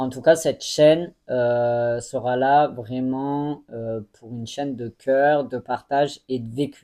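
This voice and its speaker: With a dark, mellow tone, the speaker moves at a very slow pace with hardly any pauses, fairly even intonation and big swings in loudness. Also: man, medium pitch for a man. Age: 20s. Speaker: YouTuber. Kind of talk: personal vlog monologue. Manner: hesitant, many fillers.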